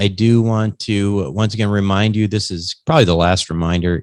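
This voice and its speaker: At a moderate pace, a man with a fairly low pitch talks in an unremarkable speaking voice. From US Midwest, Minnesota. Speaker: podcast host. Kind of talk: interview; show outro announcement.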